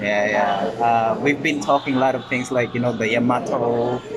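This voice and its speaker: A man with a Visayan Filipino accent, medium pitch, fairly even intonation and a fairly slow pace, with audible room echo and noticeable background noise. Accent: Filipino (Cebuano) English. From Philippines, Cebu. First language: Cebuano (Bisaya). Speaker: podcast host. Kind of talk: casual chat. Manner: halting.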